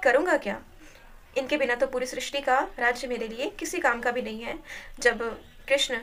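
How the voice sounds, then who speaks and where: A woman speaks at a moderate pace. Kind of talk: religious commentary. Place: home room. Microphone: phone near.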